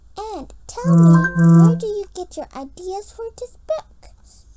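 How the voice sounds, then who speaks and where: A woman's squeaky, put-on character voice at a fairly slow pace, with big swings in loudness and music in the background. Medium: read story. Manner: babbling, eager.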